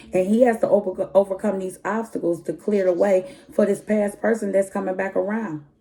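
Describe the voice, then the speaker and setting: A woman's moderately paced speech, with ordinary pitch variation, comes through noticeable background noise. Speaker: tarot reader. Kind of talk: tarot reading. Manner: animated.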